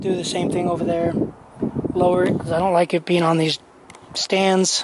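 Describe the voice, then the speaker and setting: Noticeable background noise surrounds a man who talks at a moderate pace in a high pitch, with a dry sound and no echo. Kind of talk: casual vlog chat. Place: open country. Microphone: phone near.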